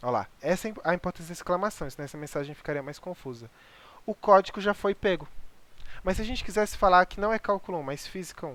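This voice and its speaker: On a very clean recording against a silent background, the words rush out at a very fast pace. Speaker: programming instructor. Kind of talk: lecture.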